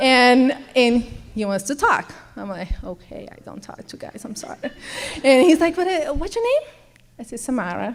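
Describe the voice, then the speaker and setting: A woman with a Brazilian accent speaks at a moderate pace in a high pitch, with very wide pitch swings and big swings in loudness. She leaves long, frequent pauses, and there is noticeable background noise. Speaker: program participant telling her story. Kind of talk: testimony.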